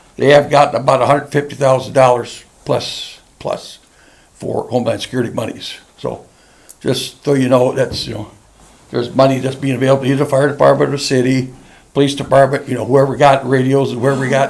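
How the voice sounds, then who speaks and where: A man's medium-pitched, monotone voice comes through with audible room echo and noticeable background noise. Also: fairly quick pace. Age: 70s. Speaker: county emergency manager and small-town mayor. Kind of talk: council meeting presentation. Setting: council meeting room with podium mic. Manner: halting.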